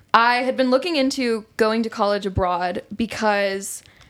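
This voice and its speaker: The recording is very clean and the background silent. The voice carries an American accent, with ordinary pitch variation. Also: woman. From Atlanta, Georgia, US South. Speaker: English teacher. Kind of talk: casual chat.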